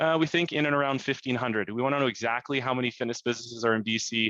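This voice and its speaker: With a Canadian accent, a man speaks at medium pitch in a bright, sharp tone, the sound dry and close with no echo. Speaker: provincial fitness industry representative. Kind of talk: business meeting update. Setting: video conference call. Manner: fast; halting, many fillers.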